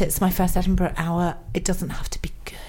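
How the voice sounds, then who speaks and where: A woman speaks at a medium pitch with flat, monotone intonation. Her pace is moderate, and the room echo is audible. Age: 40s. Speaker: comedian. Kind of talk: casual chat.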